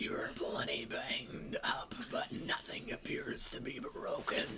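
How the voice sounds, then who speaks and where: Whispering in a put-on character voice, a man speaks at a fairly slow pace over loud background noise. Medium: machinima. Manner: calm, terse.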